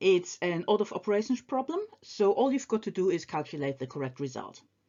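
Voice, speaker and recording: In a non-native accent, a woman of medium pitch speaks at a moderate pace, her pitch swinging very widely. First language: not English. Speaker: maths teacher. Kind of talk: tutorial. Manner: casual, with frequent hesitations.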